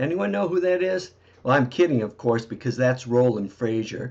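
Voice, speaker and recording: A man with an unremarkable speaking voice and medium pitch talks with lively intonation against a quiet background. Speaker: marketing presenter. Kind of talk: sales presentation. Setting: recorded video webinar.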